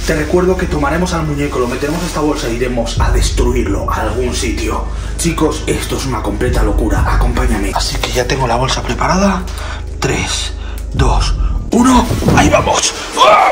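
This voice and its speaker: A man talks at a moderate pace, with clear music behind him. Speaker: content creator. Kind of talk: dramatic vlog narration. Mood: tense, mock-scared excitement. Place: home room. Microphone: phone near.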